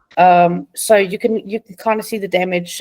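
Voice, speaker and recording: The speaker has a South African accent, recorded with a dry, close sound and no echo. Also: woman. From South Africa, Johannesburg. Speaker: patient advocate, charity founder. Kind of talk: interview.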